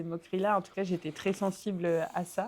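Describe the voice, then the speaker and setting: The woman keeps a moderate pace. Her intonation is monotone and flat. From southwest France, Aveyron. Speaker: former professional basketball player. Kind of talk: podcast interview. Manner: hesitant, many fillers.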